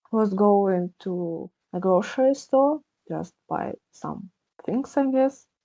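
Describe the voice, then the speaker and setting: Speaking at a very slow pace in a Russian accent, a woman with a dark, mellow tone and medium pitch uses lively intonation, the sound dry and close with no echo. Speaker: podcast guest. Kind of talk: candid discussion. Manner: halting.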